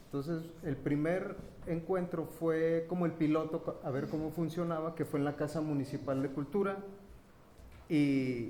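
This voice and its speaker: Fairly slow and fairly high-pitched, a man speaks with fairly even intonation over noticeable background noise. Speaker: printmaking artist and event organizer. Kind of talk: round table talk. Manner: halting; soft-spoken.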